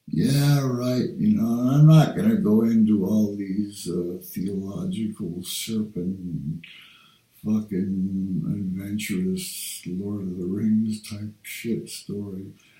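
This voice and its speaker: Over noticeable background noise, a man speaks at a very slow pace with a fairly low pitch. His loudness swings widely. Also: ordinary pitch variation. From Denmark. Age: 60s. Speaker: vlogger. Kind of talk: casual monologue. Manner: halting.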